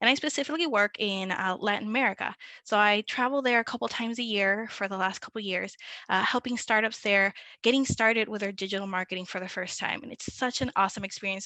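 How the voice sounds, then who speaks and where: A woman with a Spanish accent talks very fast at medium pitch in a bright, sharp tone, with a dry, close sound with no echo and a quiet background. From Puerto Rico. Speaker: digital marketing manager. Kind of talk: webinar presentation.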